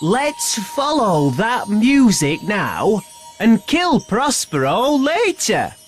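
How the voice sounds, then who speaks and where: Music plays clearly in the background as someone speaks in a put-on character voice at a fairly high pitch. The pace is very slow, with very wide pitch swings. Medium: audio drama.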